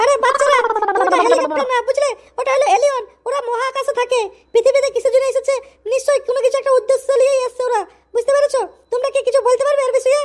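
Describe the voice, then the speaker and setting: Pitched extremely high, a woman puts on a cartoonish character voice and talks at a fairly quick pace. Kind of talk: mock TV news reporting. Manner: breathless, addresses viewers directly.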